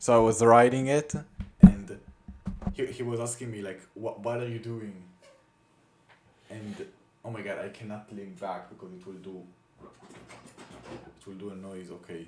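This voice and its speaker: A man with a non-native accent speaks fairly slowly at a medium pitch, with ordinary pitch variation, big swings in loudness and long, frequent pauses over noticeable background noise. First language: not English. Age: 20s. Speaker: young soldier vlogger. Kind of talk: casual vlog monologue. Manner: halting, many fillers and restarts.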